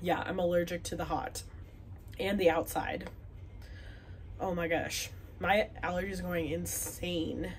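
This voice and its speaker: A woman speaks at a fairly slow pace with long, frequent pauses in a room with audible echo. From Wisconsin, US Upper Midwest. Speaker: knitting podcaster. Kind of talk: casual chat. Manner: chatty, filler words.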